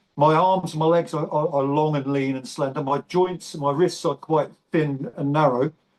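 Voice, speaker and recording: This man talks at a moderate pace with a fairly high pitch and fairly even intonation. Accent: English. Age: 60s. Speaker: bodybuilder and navy veteran. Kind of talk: interview. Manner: halting.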